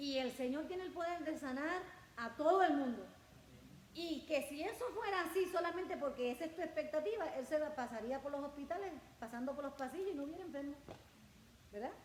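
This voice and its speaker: A woman talks at a fairly quick pace and high pitch. Audible room echo and noticeable background noise surround her voice. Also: ordinary pitch variation. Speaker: pastor. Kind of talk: sermon.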